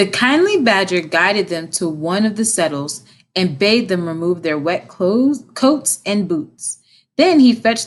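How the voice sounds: Quiet background and a natural reading voice with lively intonation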